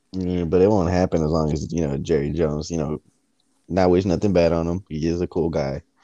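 A man speaks very fast in a very deep, low voice with an American accent, his dark, mellow tone held in a monotone, flat intonation over a dry, close sound with no echo. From US South. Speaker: podcast co-host. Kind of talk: casual chat.

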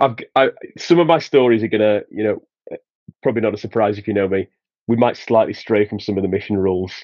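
Delivered very fast, the voice moves through ordinary pitch variation. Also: man, fairly low pitch for a man. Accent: Yorkshire. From northern England (Sheffield, Yorkshire). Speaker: former missionary. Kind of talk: casual chat.

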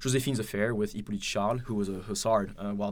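A man talks at a very fast pace. Room echo is audible around his voice. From France, Paris. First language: French. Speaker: graduate student and army reservist. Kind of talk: podcast interview. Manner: halting, many fillers and repetitions.

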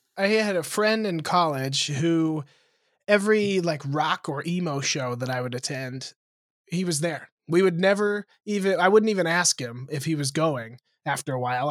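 A man speaks with a fairly high pitch and a plain, everyday voice. His intonation is lively at a moderate pace, on a very clean recording with a silent background. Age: 20s. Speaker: comedian. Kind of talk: casual chat.

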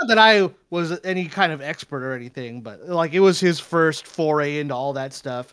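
With an American accent and a plain, everyday voice, a man speaks at a moderate pace with fairly high pitch, ordinary pitch variation and big swings in loudness. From California. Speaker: fighting game player and video game composer. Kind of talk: casual chat.

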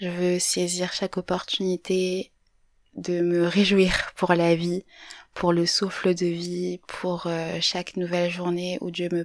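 A woman with a fairly low voice speaks at a very slow pace in a monotone, flat way. The recording is very clean with a silent background and a dry, close sound with no echo. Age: 20s. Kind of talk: personal reflection monologue. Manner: hesitant, many fillers.

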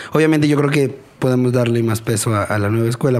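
A man speaks with fairly even intonation. Noticeable background noise runs under him. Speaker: podcast co-host. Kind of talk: casual chat.

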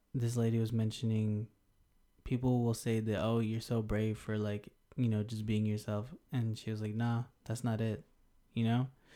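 In a very clean recording with a silent background, a man with an American accent talks at a medium pitch in a dark, mellow tone. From Denver, Colorado. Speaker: podcast co-host, English teacher. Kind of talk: casual chat.

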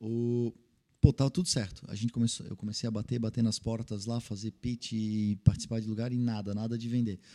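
Pitched in the medium range, a man talks at a moderate pace in a dark, mellow tone, the sound dry and close with no echo. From Santa Catarina, Brazil (Vale do Itajaí). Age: young. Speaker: tech entrepreneur. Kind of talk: interview conversation.

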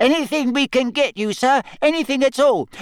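A put-on character voice, high in pitch, delivers its lines at a moderate pace. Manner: eager, servile.

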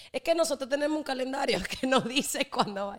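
Talking at a fairly quick pace, a woman uses a high pitch and lively intonation. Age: 20s. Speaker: entrepreneur and influencer. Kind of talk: casual chat.

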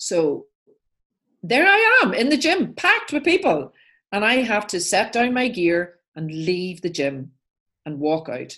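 With an Irish accent, this animated speaker uses very wide pitch swings and a bright, sharp tone, moving at a fairly slow pace with long, frequent pauses. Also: woman, medium pitch for a woman. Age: 60s. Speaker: life coach and author. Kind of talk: interview storytelling.

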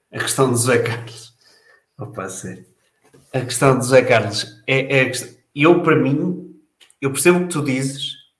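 A man speaks at a fairly slow pace in a fairly high, somewhat breathy voice. Audible room echo surrounds him. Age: 40s. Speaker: football fan panelist. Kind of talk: casual panel discussion.

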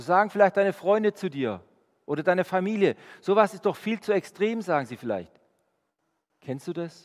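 A high-pitched man speaks at a moderate pace with a warm tone and lively intonation. He leaves long, frequent pauses. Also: big swings in loudness. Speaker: preacher. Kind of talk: sermon. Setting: church. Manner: earnest, warm, conversational; direct, urging the congregation.

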